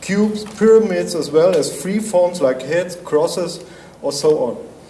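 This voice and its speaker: A man with a German accent speaks at a fairly slow pace with ordinary pitch variation. Audible room echo and noticeable background noise surround him. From Germany. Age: 50s. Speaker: artist. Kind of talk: artist presentation.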